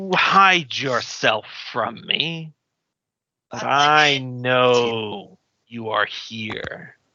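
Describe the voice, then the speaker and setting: A man's put-on character voice, rumbling and medium in pitch, at a very slow pace with long, frequent pauses. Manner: menacing.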